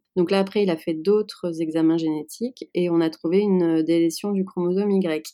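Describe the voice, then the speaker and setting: Her fairly low pitch and dark, mellow tone hold to a fairly even intonation as the woman talks at a fairly slow pace. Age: 30s. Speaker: interview guest sharing fertility journey. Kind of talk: testimony. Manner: hesitant, many fillers.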